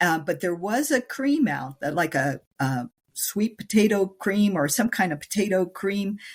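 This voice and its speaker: A woman speaks with a medium pitch and a somewhat breathy voice. Her pitch swings very widely. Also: fairly slow pace, very clean recording, silent background. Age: 60s. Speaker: menopause nutrition coach. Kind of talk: interview conversation.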